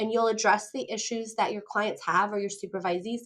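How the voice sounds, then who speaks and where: A woman with a fairly high pitch speaks in a monotone, flat intonation against a quiet background. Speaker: counselor educator. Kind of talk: interview conversation. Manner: fast.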